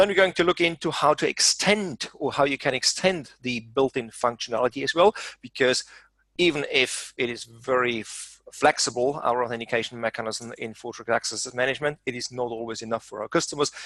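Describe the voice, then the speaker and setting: Speaking with a German accent, a man has a bright, sharp tone and a medium pitch with ordinary variation, at a fairly quick pace. The sound is dry and close, with no echo. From Germany. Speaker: software trainer. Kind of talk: webinar presentation.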